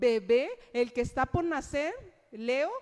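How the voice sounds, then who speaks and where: The woman's voice sits at a high pitch. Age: 30s. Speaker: preacher. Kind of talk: sermon.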